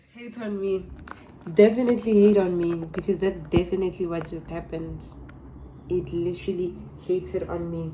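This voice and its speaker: Over noticeable background noise, a woman speaks at a moderate pace with big swings in loudness and long, frequent pauses. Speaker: vlogger. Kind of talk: storytime vlog. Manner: animated.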